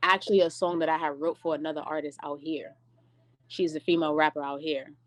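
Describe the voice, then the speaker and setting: Against a quiet background with a dry, close sound and no echo, a woman with an American accent speaks at a fairly quick pace in a very deep, low pitch, her intonation monotone and flat. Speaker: rapper and singer. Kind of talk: casual chat.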